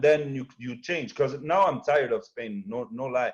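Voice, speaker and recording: With a slight French accent, a man speaks at a fairly high pitch. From Quebec, Montreal. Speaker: entrepreneur and video editor. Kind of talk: casual chat.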